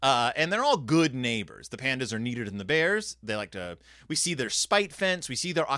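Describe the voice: This is plain reading aloud, delivered with lively intonation.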